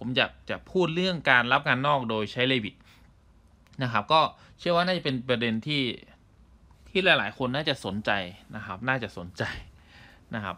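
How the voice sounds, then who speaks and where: Here is a man with a bright, sharp tone and lively intonation. The recording is very clean with a silent background. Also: medium pitch for a man. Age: 30s. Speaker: engineering instructor and podcaster. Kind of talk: casual solo podcast monologue. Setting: audio-only recording.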